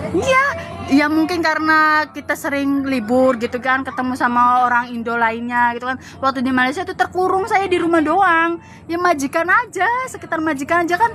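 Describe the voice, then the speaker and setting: Over noticeable background noise, a woman with a high pitch projects her raised voice at a fairly quick pace, her intonation lively. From Java, Indonesia. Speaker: migrant domestic worker. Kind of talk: casual chat.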